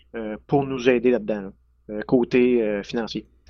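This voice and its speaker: Speaking at a moderate pace, a man holds a medium pitch in a monotone, flat intonation. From Quebec, Centre-du-Québec near Drummondville. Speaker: dairy farmer. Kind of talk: casual interview.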